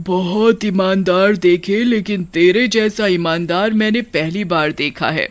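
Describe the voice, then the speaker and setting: A put-on character voice at a middle pitch. It moves at a fairly slow pace with hardly any pauses. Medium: read story. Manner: cackling, mocking.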